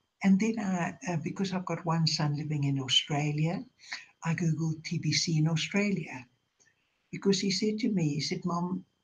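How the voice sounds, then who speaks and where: The speaker is a woman with a fairly low pitch. Her voice is somewhat breathy. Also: ordinary pitch variation, moderate pace. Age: 80s+. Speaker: online seller and broadcaster. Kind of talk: live video chat monologue. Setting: online live broadcast. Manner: halting, many fillers.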